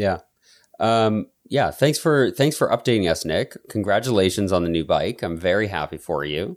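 An ordinary speaking voice, a man with fairly low pitch and lively intonation at a moderate pace, in a very clean recording with a silent background. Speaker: podcast host. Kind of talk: casual chat.

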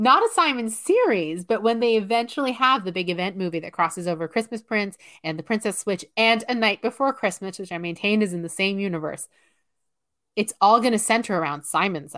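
On a very clean recording with a silent background, a woman talks fairly quickly in an animated tone, her medium pitch showing ordinary variation. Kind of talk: casual chat. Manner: animated, excitable.

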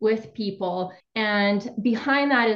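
A woman's fairly high, somewhat breathy voice at a very slow pace, with lively intonation. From Ukraine. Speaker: somatic therapist and coach. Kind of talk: podcast interview.

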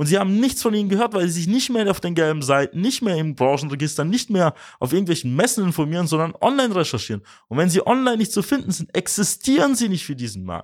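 Very fast and high in pitch, a man's voice makes very wide pitch swings. The recording is very clean with a silent background. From Swabia, near Tübingen (Mössingen). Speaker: podcast host and agency managing director. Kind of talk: business advice monologue.

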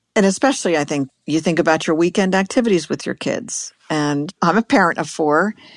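A woman with a normal speaking voice, fairly low in pitch, talks at a fairly quick pace with lively intonation and hardly any pauses, recorded dry and close with no echo over a quiet background. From US, Pittsburgh, Pennsylvania. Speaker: science education director. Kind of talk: interview.

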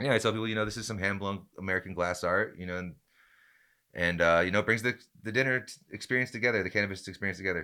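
On a very clean recording with a silent background, a man with a bright, sharp tone talks at a very fast pace, his loudness swinging widely and his pitch varying in an ordinary way. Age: 40s. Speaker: chef. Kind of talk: casual chat. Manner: halting.

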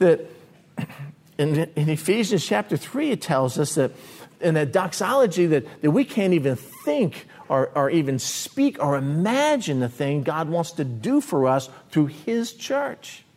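A man's fairly high voice, slightly mellow in tone, with big pitch swings at a fairly slow pace

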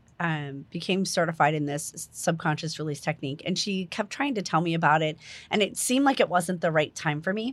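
The recording is very clean, with a silent background. A woman with a normal speaking voice talks at a fairly low pitch with ordinary pitch variation. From New Jersey. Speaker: holistic life coach. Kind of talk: guided meditation; casual interview chat.

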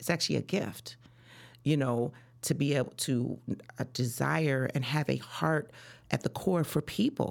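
On a very clean recording with a silent background, a woman with a very deep, low pitch and vocal fry speaks in an American accent at a moderate pace with ordinary pitch variation. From Chicago. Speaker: real estate broker. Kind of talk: interview.

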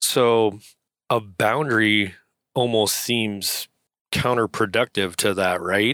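A man speaks at a very slow pace with long, frequent pauses, fairly even intonation, a fairly low pitch and a bright, sharp tone. The recording is very clean with a silent background and sounds dry and close with no echo. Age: 50s. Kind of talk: casual chat.

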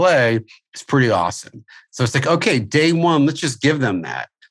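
A man speaks with an American accent. His pitch is medium, with ordinary variation. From US Midwest (St. Louis, Missouri). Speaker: music school owner and curriculum developer. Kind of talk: interview. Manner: halting, many fillers.

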